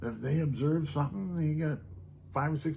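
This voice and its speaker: A man's fairly high voice sounds somewhat breathy, with a dark, mellow tone. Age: 70s. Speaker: storyteller and musician vlogger. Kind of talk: casual monologue to camera. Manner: soft-spoken; rambling, conversational.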